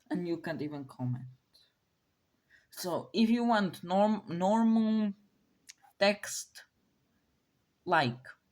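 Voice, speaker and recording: A woman speaks very slowly at a medium pitch with a non-native accent. Her pitch swings very widely, broken by long, frequent pauses. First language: not English. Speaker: YouTuber presenting a speculative biology series. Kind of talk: casual video commentary. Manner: halting, with many fillers and restarts.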